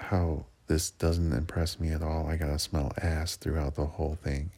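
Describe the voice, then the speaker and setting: At a moderate pace, a man speaks with a very deep, low pitch and a dark, mellow, somewhat breathy tone. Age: 40s. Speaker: seasonal park worker vlogging. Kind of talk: personal audio diary. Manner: casual, with fillers and repetitions.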